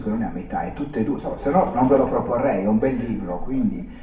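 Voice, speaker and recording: The room echo is audible. A man is the one talking. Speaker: presenter. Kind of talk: lecture.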